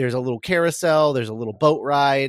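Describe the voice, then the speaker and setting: A man with an unremarkable speaking voice talks in a fairly high pitch with ordinary pitch variation, the sound dry and close with no echo. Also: very clean recording, silent background. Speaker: podcast co-host. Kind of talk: casual chat.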